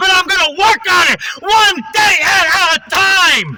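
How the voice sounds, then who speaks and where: Over noticeable background noise, a man projects a raised voice with very wide pitch swings. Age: 30s. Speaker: recovering alcoholic vlogger. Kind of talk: personal testimony monologue. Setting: in a car.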